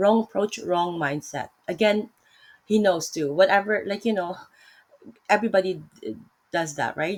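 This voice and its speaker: A woman with a Filipino accent and a medium pitch speaks at a moderate pace. Long, frequent pauses break up her speech. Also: ordinary pitch variation. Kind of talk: casual religious discussion. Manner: hesitant, many fillers and self-corrections.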